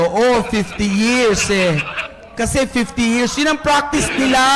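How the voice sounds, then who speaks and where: The speaker goes at a very slow pace, with noticeable background noise behind them. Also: man. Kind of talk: sermon. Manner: animated.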